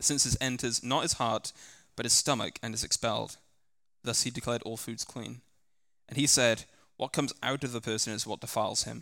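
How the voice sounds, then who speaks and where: In a very clean recording with a silent background, a man with an English accent speaks at medium pitch in a bright, sharp tone with vocal fry. His pace is fairly quick, with fairly even intonation and long, frequent pauses. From England. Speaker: scripture reader at church service. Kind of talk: scripture reading aloud. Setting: church.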